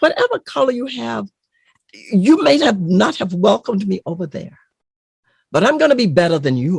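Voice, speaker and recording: Very wide pitch swings, vocal fry, and long, frequent pauses at a moderate pace, with a dry, close sound and no echo. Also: woman, medium pitch for a woman. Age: 70s. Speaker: retired college educator. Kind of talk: interview conversation. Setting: studio. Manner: emphatic.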